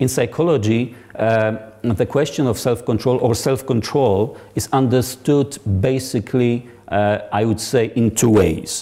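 The man talks at a fairly slow pace. His loudness stays very even, and his pitch varies in an ordinary way. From Poland. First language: Polish. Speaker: psychology researcher; guest lecturer. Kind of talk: lecture. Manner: halting, many fillers; formal. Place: hall. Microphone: lapel.

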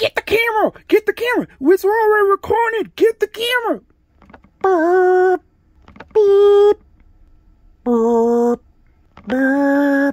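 A man shouts in a put-on character voice at an extremely high pitch. He leaves long, frequent pauses. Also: fairly slow pace. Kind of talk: comic overacting, found-footage horror spoof. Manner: frantic, shouting, panicked.

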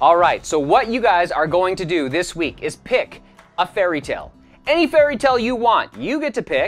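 Faint background music behind a man talking at a moderate pace. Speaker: drama teacher. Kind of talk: lecture to students.

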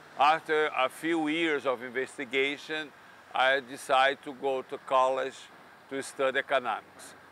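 A man with a Brazilian accent speaks at a moderate pace in a fairly high voice with a bright, sharp tone and monotone, flat intonation. The sound is dry with no echo, and there is light background noise. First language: Portuguese. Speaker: economics professor. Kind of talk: interview monologue. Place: street. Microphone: lapel.

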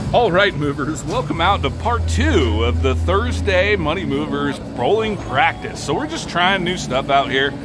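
Against clear music in the background, a man talks at a moderate pace with hardly any pauses. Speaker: channel host. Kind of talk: casual vlog chat. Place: hall.

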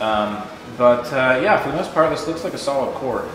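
Talking at a very fast pace with ordinary pitch variation, a man is heard over light background noise and audible room echo. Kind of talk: casual vlog chat. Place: garage. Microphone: phone near.

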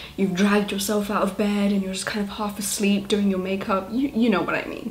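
Over light background noise, a woman speaks at a fairly quick pace in a monotone, flat intonation. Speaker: beauty vlogger. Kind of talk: casual vlog chat. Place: home room.

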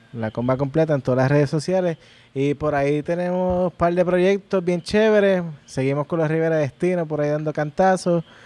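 A man with a Puerto Rican accent speaks at a fairly quick pace. His tone is dark and mellow, with ordinary pitch variation. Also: fairly high pitch for a man. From Puerto Rico. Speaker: musician; podcast guest. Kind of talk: casual chat. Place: home room. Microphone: handheld.

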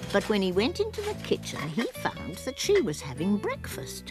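The talking keeps a moderate speed. Music can be heard behind it. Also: woman. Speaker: voice actor. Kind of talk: children's story narration. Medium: cartoon.

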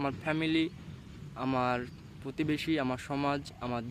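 Here a man speaks at a fairly high pitch in a monotone, flat intonation. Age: 20s. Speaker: motivational YouTuber. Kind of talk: motivational monologue. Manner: halting.

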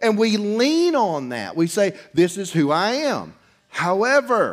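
A man at a very slow pace against a quiet background. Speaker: preacher. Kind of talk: sermon. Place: church.

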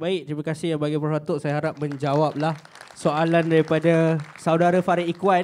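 Over light background noise, a man with a fairly high pitch speaks at a moderate pace in a monotone, flat intonation. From Malaysia. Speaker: student moderator. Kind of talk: event moderation. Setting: stage with audience. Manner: halting. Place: hall. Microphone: handheld.

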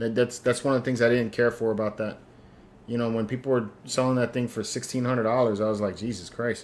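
A man with a medium pitch speaks at a very fast pace in a monotone, flat intonation. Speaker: collectibles unboxing host; collectibles show host. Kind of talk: casual live-stream chat while unboxing. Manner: laid-back, smooth late-night DJ style. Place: home room. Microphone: studio mic.

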